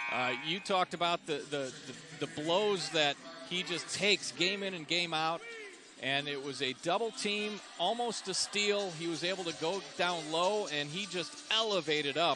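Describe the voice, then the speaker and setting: There is noticeable background noise behind the voice. Pitch variation is ordinary and the pace moderate. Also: man. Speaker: play-by-play announcer. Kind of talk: live commentary. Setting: arena broadcast.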